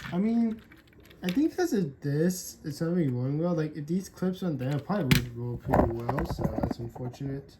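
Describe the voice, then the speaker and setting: A woman talks with lively intonation at a very deep, low pitch. Her pace is moderate, and background noise is noticeable. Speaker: toy unboxing youtuber. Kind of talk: casual unboxing commentary. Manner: loud.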